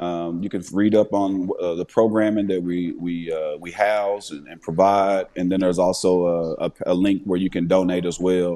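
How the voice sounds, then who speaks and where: At a moderate pace and with hardly any pauses, a man speaks in a very deep, low pitch with monotone, flat intonation and big swings in loudness. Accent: Southern US. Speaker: retired NFL player. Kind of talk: casual interview chat. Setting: farm, snowy outdoors.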